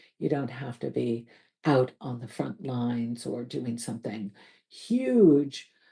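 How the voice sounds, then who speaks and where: Very deep and low in pitch, a woman speaks at a very slow pace with vocal fry and a dark, mellow tone. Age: 60s. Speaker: life coach. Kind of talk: reflective monologue.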